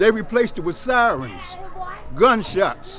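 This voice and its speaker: Against noticeable background noise, a man speaks at a high pitch. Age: 70s. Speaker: community program leader. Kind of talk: casual talk to visitors.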